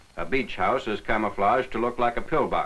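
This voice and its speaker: Amid noticeable background noise, a man talks at a fairly low pitch. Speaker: newsreel narrator. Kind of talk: wartime newsreel narration.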